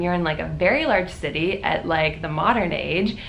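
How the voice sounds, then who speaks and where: A woman talks with an American accent. Noticeable background noise and audible room echo fill the recording. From Florida, US. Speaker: volunteer teacher and vlogger. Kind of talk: casual vlog update. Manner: loud; fast.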